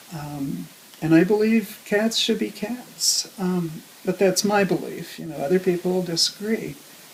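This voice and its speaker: A woman at medium pitch, fairly slow, with ordinary pitch variation over noticeable background noise. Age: old. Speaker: animal rescuer. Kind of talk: interview answer.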